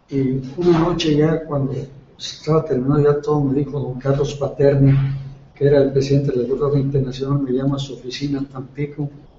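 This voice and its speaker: Noticeable background noise accompanies a man whose fairly high voice stays in monotone, flat intonation. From Mexico, Tamaulipas. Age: 70s. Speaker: retired oil worker and local official for seniors. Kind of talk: interview.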